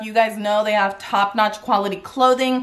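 At a moderate pace, a woman talks with fairly even intonation. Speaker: lifestyle vlogger. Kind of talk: casual vlog chat. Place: home room. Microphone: phone near.

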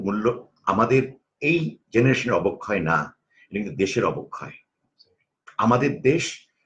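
Here is a man with a medium pitch and lively intonation. His voice is somewhat breathy. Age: 50s. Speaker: corporate trainer. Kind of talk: interview conversation.

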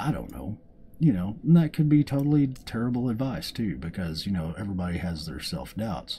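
Speaking at a fairly quick pace, a man with a fairly low pitch and a dark, mellow, somewhat breathy tone swings his pitch very widely. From US South, Arkansas. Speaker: gaming YouTuber. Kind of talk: casual gameplay commentary.

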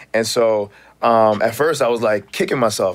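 A man talks in an animated tone at a fairly quick pace. His pitch variation is ordinary. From Canada, Toronto. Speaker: actor. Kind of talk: casual chat. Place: studio. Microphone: studio mic.

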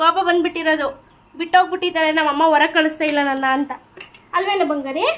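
Using fairly even intonation, a woman speaks at an extremely high pitch. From Gangavathi, Karnataka. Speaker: vlogger. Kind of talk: casual vlog narration. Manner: talking to a child.

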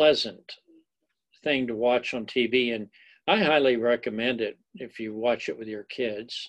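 A man speaking at a slow pace with ordinary pitch variation

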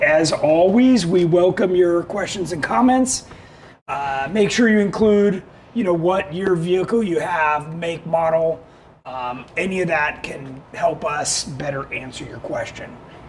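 The speaker talks at a fairly slow pace with ordinary pitch variation over light background noise. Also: man, high pitch for a man. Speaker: show host. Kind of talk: live web show product talk. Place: studio. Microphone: lapel.

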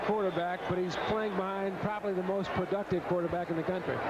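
Loud background noise runs beneath a voice with fairly even intonation. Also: man. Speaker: TV game commentator. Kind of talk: vintage college football game commentary. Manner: even, rapid play-by-play delivery.

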